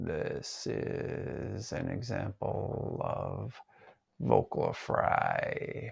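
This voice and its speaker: In a raspy, put-on character voice, a man drags out his words at a very slow pace. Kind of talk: demonstration of vocal fry. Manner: overly relaxed, lazy.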